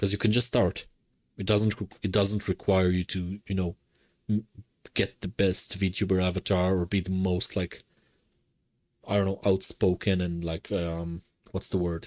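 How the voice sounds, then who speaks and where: A man speaks at a moderate pace in a very deep, low pitch, monotone and flat, with long, frequent pauses. The recording is very clean with a silent background and a dry, close sound with no echo. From Israel. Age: 30s. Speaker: streamer. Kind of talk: casual chat. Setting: live stream.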